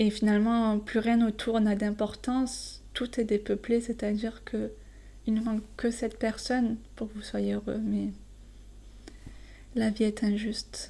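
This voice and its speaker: In a calm, relaxed tone with a slight southern French accent, a woman speaks at a fairly slow pace, leaving long, frequent pauses. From southern France. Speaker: French teacher. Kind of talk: poetry explanation for learners. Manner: halting with fillers.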